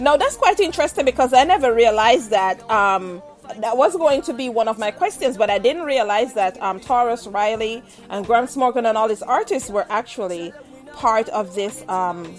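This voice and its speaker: A woman with a Jamaican accent, fairly high pitch, lively intonation, and noticeable background noise. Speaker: radio host. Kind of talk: live interview. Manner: fast.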